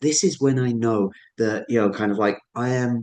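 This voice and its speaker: Fairly even intonation in a medium-pitched male voice. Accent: Suffolk. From Suffolk, England. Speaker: ceremonialist, astronomer and photographer. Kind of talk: illustrated presentation talk.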